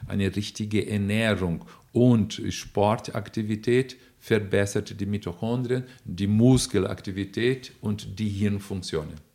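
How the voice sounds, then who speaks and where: A man speaks in a fairly low voice with fairly even intonation, captured in a very clean recording against a silent background. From Brazil. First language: Portuguese (speaking German). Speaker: neuroanatomist and nutrition expert, professor. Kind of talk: interview answers, explanatory. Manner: hesitant with fillers.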